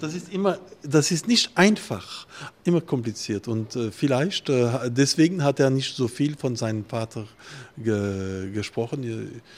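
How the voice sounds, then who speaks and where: Speaking at a medium pitch, a man takes a very slow pace. His intonation is lively. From Alsace, France. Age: 50s. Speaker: winemaker. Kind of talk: interview. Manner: halting.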